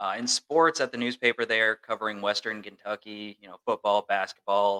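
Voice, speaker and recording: At a fairly quick pace, a man talks in a plain, everyday voice of medium pitch. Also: dry, close sound with no echo. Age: 20s. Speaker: sports reporter and podcast co-host. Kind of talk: casual chat.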